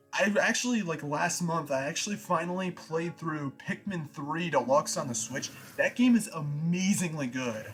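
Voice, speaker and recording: Lively intonation at a moderate pace, hardly any pauses, and noticeable background noise. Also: man, high pitch for a man. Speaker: gaming reaction youtuber. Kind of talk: live reaction commentary. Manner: quiet.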